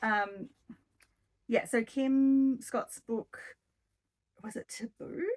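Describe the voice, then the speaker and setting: A woman with an Australian accent, very slow and fairly even in intonation, in a dry, close recording without echo. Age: 40s. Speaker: book vlogger. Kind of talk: casual chat. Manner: rambling with many ums.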